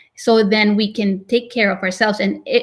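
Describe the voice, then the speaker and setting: A woman speaks at a medium pitch. She has a non-native accent. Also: very clean recording, silent background. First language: not English. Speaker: real estate agent, team leader. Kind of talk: interview.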